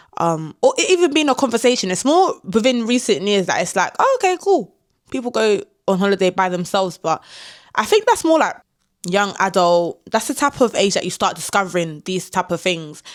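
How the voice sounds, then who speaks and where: In a very clean recording with a silent background, a woman with a London accent talks at a fairly quick pace and medium pitch, using an animated tone and very wide pitch swings. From London, England. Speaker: travel vlogger. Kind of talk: casual talk to camera.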